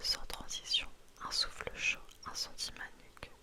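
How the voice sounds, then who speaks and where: Very slow whispering from a woman, noticeable background noise behind it. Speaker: ASMR content creator. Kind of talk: whispered story reading, audiobook-style narration. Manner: whispered, slow, intimate.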